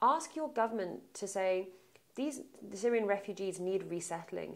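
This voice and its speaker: Speaking fairly quickly with a London accent, a woman keeps a medium pitch and ordinary pitch variation. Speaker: aid organization advocacy director. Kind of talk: interview.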